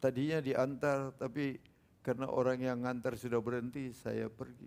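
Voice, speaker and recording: Flat, monotone intonation at a moderate pace. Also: man, medium pitch for a man. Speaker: preacher. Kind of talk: sermon.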